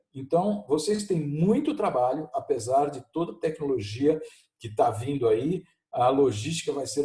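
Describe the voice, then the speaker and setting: Speaking at a fairly slow pace and a fairly high pitch, a man has a dark, mellow, somewhat breathy tone and lively intonation. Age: 60s. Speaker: professor. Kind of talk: video lesson conversation.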